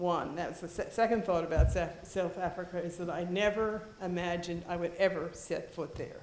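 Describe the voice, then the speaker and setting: A woman with an American accent speaks in a fairly low pitch with monotone, flat intonation. Her moderate pace has hardly any pauses, and room echo is audible. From Philadelphia, US. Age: 70s. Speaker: retired school head. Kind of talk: keynote speech. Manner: halting.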